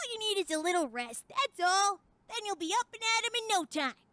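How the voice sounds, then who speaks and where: Putting on a character voice, a female-sounding speaker talks at a fairly quick pace with an extremely high pitch. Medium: audio drama. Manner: casual, slangy, energetic.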